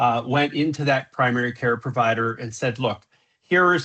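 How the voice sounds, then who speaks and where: A man's medium-pitched voice with an American accent and a bright, sharp tone. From US Southwest, Phoenix, Arizona. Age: 60s. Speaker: safety consultant, presenter. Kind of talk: webinar presentation. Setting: video call. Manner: many filler words, halting.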